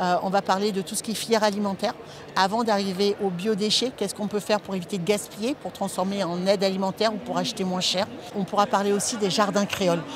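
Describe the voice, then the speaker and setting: A woman at a very fast pace, fairly even intonation, a dry sound with no echo, and noticeable background noise. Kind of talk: interview answer. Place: hall. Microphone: lapel.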